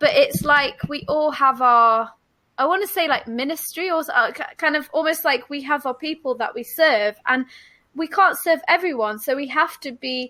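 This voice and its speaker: In a very clean recording with a silent background, a woman with a high pitch uses a raised, projected voice, a bright, sharp tone and lively intonation at a moderate pace. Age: 30s. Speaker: podcast co-host, singer-songwriter. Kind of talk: casual interview chat. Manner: halting, hesitant.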